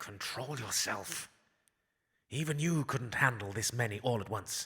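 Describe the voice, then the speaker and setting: A man puts on a character voice at a medium pitch. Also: moderate pace. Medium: audio drama.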